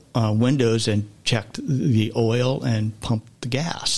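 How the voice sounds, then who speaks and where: A man talks at a medium pitch with fairly even intonation. He has a plain, everyday voice. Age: 60s. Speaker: podcast guest sharing life story. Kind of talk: testimony.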